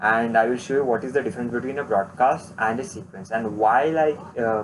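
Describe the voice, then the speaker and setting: This man's voice sits at a medium pitch. He speaks at a moderate pace with ordinary pitch variation. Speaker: online marketing course instructor. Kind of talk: tutorial. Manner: halting, many fillers.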